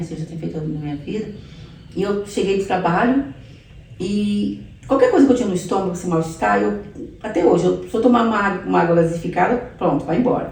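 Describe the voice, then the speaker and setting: With noticeable background noise and audible room echo, a woman with a fairly low pitch speaks at a fairly quick pace and with lively intonation. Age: 60s. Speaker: pastor giving her life testimony. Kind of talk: testimony.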